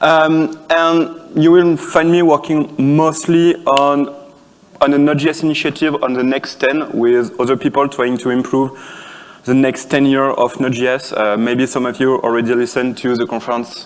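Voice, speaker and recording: A man with a French accent and a fairly high pitch talks at a moderate pace with fairly even intonation against noticeable background noise. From France. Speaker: conference speaker, software developer. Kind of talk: conference talk. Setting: conference stage with audience. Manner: halting, many fillers and restarts.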